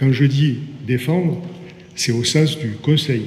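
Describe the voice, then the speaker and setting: Man with a Marseille accent, ordinary pitch variation, audible room echo. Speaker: port business association president. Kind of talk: formal speech at signing ceremony. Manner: hesitant, with fillers and repetitions.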